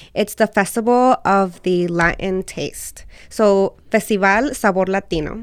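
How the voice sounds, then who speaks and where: An unremarkable speaking voice with an American accent, fairly slow pace, and fairly even intonation, in a very clean recording with a silent background. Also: woman, medium pitch for a woman. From US South (Alabama), Mexican family. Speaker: restaurant owner. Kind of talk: casual interview.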